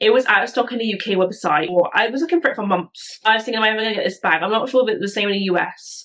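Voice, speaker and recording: Amid noticeable background noise, a woman talks at a very fast pace in a fairly high pitch. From UK. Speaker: YouTuber, bag reviewer. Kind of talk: product review vlog. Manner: casual, chatty.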